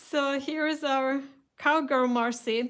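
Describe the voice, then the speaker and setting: On a very clean recording with a silent background, a woman speaks at a very slow pace and high pitch with fairly even intonation. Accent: Russian. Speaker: craft shop host. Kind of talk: live stream product reveal. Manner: hesitant, many fillers.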